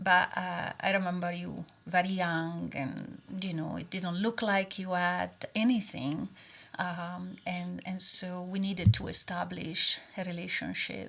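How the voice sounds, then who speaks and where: A woman talks at a fairly slow pace in an Italian accent. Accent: Italian accent, still noticeable. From Italy. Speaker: oncologist. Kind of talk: casual chat. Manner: hesitant, many fillers.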